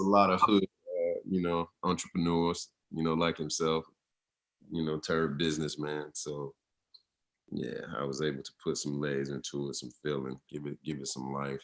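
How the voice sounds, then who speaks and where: A man with a Southern US accent speaks at a very deep, low pitch with fairly even intonation. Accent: Southern Atlanta drawl. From US South, Atlanta (College Park), Georgia. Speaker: actor and model. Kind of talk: interview. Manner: casual, halting with fillers.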